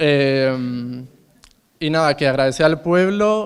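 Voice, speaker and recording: This is a man speaking. His pitch moves in an ordinary way. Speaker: exhibiting artist. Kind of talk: thank-you speech. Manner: halting.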